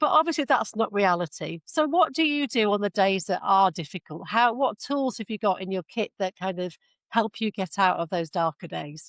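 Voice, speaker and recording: Heard in a very clean recording with a silent background and a dry, close sound with no echo, this voice with an English accent moves at a moderate pace through very wide pitch swings. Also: woman, medium pitch for a woman. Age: 50s. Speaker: podcast host. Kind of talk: interview.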